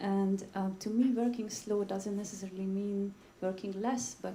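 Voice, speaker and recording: A woman speaks at a fairly slow pace with a medium pitch. Noticeable background noise runs behind her. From Budapest, Hungary. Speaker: dance critic. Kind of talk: panel discussion.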